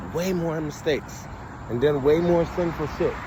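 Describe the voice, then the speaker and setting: A man talks at a moderate pace in a fairly high pitch. Noticeable background noise sits behind him. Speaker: vlogger. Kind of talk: casual monologue. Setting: outdoors by a main road. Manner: loud; animated.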